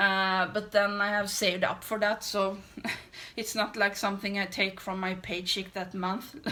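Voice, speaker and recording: Talking at a moderate pace, a woman with a Swedish accent uses a medium pitch. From Sweden. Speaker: beauty vlogger. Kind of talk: casual chat while doing makeup. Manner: halting.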